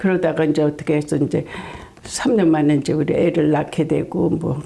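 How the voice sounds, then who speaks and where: A woman's moderate pace comes through noticeable background noise. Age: 70s. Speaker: senior beauty pageant winner. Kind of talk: interview answer.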